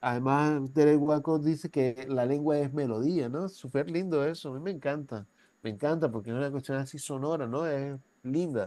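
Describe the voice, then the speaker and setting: A man speaks at a moderate pace in a normal speaking voice, his fairly high pitch moving with ordinary variation. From Venezuela. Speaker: university professor. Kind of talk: lecture. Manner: conversational, with frequent tag questions.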